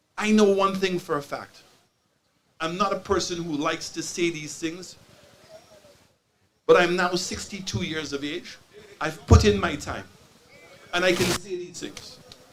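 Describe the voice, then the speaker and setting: This man speaks fairly slowly at a high pitch, with long, frequent pauses and ordinary pitch variation. Room echo is audible. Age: 60s. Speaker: community speaker at town hall. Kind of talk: public speech. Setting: town hall meeting with audience. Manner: impassioned.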